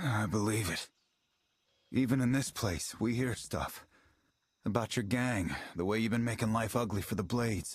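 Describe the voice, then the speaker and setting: A man uses a gruff, put-on character voice at a medium pitch and a moderate pace. He leaves long, frequent pauses. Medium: video game. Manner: gruff, streetwise.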